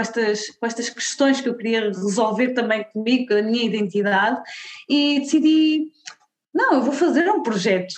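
With a European Portuguese accent, a woman speaks at a moderate pace. Her pitch is high, with ordinary pitch variation. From Portugal. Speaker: diversity consultant and content creator. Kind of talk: interview conversation.

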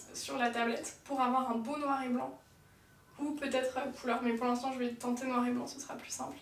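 Audible room echo surrounds a woman's voice. Her pitch is high and her intonation monotone and flat. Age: 20s. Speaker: tattoo artist and ceramicist. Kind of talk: casual chat. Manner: fast.

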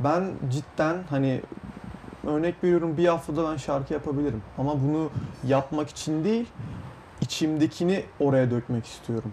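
A man speaks in a fairly high voice. There is noticeable background noise. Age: young. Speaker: young music producer. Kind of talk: interview. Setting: studio.

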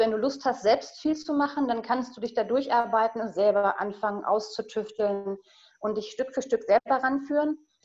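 This woman has a normal speaking voice, with fairly high pitch, ordinary pitch variation and a moderate pace. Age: 40s. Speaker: guest on sustainable family living. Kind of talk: casual interview.

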